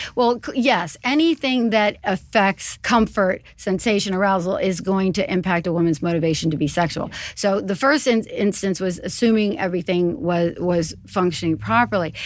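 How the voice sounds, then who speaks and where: With an American accent, a woman talks at a moderate pace in a plain, everyday voice, with lively intonation and hardly any pauses. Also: medium pitch for a woman. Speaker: urologist. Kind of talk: expert interview.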